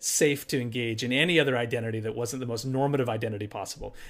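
In an American accent, a man talks at a very fast pace. His pitch is medium for a man. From US Appalachia. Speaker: documentary photographer and filmmaker. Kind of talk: interview conversation. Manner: hesitant with repetitions.

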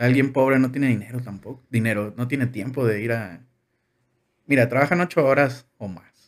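A man with a normal speaking voice talks at a moderate pace and medium pitch with ordinary pitch variation. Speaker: engineering graduate. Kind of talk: casual chat.

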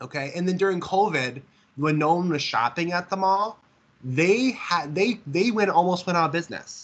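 With an American accent, a man talks at a moderate pace in a high pitch, his pitch varying in an ordinary way. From Minnesota, near St. Cloud. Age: 20s. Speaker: visually impaired mall worker. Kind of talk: interview. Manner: halting, repetitive.

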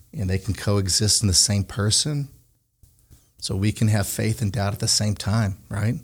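A man with a fairly low pitch and an American accent, somewhat breathy, at a moderate pace. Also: ordinary pitch variation, very clean recording, silent background. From Connecticut. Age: 40s. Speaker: podcast host and ministry leader. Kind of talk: casual faith discussion.

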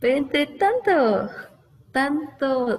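Lively intonation colors a woman's speech, with background noise noticeable throughout. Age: 20s. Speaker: TV news reporter. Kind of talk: casual interview.

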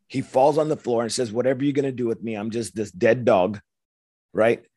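Over a quiet background, a man talks at a moderate pace in an American accent. His dark, mellow voice shows ordinary pitch variation. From Los Angeles. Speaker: war veteran. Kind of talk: testimony.

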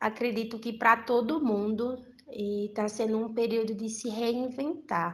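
A woman's fairly high pitch, fairly even intonation and fairly slow pace, in a normal speaking voice. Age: 20s. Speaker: university student. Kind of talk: interview.

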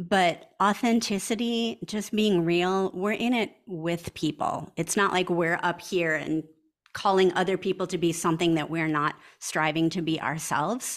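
At a moderate speed, this woman uses a plain, everyday voice and ordinary pitch variation. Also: fairly low pitch for a woman. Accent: American. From US Midwest, small town Wisconsin. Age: 50s. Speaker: pastor. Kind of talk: interview.

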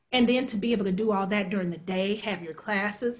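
A woman with an American accent talks at a fairly quick pace in a fairly high, somewhat breathy voice with ordinary pitch variation. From US Midwest, Kansas City. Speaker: actor and singer. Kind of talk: interview.

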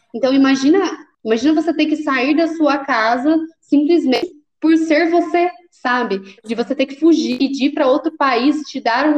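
The woman talks at a fairly slow pace. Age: 20s. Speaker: recruiting intern turned employee, pedagogy student. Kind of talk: casual interview. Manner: animated.

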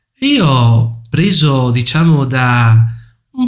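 A man's somewhat breathy voice sits at medium pitch and moves with ordinary pitch variation. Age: 30s. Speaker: chess player and instructor. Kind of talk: interview.

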